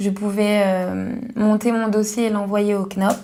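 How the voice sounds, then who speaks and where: Her pace is fairly slow. This woman's voice is medium-pitched and somewhat breathy. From Paris region, France. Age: 20s. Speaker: specialized educator. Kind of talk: testimony. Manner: halting, with frequent hesitations.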